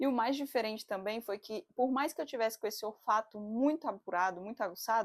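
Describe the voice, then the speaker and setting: In a normal speaking voice, a woman talks at a fairly quick pace and fairly high pitch with ordinary pitch variation. The recording is very clean and silent in the background, with a dry, close sound and no echo. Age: 30s. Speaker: psychologist and doula. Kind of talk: casual talk to camera. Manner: chatty, expressive.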